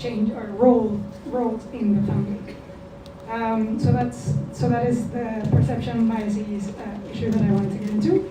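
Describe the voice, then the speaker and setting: In a room with audible echo and noticeable background noise, a woman speaks at a moderate pace in a medium pitch with lively intonation. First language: Spanish. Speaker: diplomat. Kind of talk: panel talk. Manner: soft-spoken; halting.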